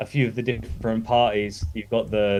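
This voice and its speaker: Delivered at a moderate pace, the speech comes with an English accent. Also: man. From eastern England, Lowestoft. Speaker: gymnastics club owner, livestream guest. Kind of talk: casual chat. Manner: hesitant, many fillers.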